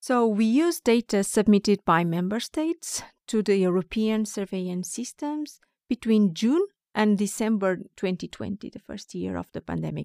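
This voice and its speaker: A woman's medium-pitched voice in a Portuguese accent, dark and mellow in tone, with lively intonation at a moderate pace, dry and close with no echo, on a very clean recording over a silent background. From Portugal, Porto. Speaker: biostatistician. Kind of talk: interview.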